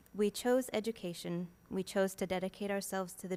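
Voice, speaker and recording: A soft-spoken woman talks at a fairly quick pace. Her pitch sits in the medium range. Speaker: school staff, public commenter. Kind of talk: public comment, reading prepared statement. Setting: school board meeting.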